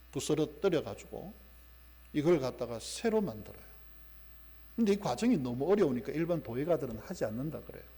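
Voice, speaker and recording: A man talks at a fairly quick pace with a fairly high pitch. His tone is dark and mellow, with vocal fry. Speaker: pastor. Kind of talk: sermon.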